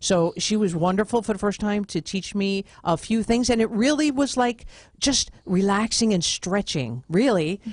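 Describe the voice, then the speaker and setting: The speaker has a normal speaking voice with an American accent and lively intonation. The pace is moderate and the background is quiet. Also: woman, medium pitch for a woman, very even loudness. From New York (Brooklyn). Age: 50s. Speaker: podcast host and author. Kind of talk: radio interview.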